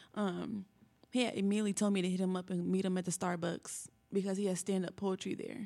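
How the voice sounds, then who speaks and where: A woman with an American accent speaks at a fairly quick pace. Her medium-pitched voice stays monotone and flat. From Indianapolis, Indiana. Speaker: rap artist. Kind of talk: interview.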